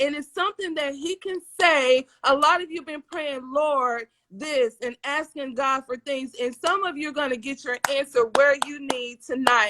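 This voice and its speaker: A woman with an American accent speaks in a raised, projected, high voice with an animated tone and ordinary pitch variation, the sound dry and close with no echo. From US South. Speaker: livestream talk show host. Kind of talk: live-streamed interview show.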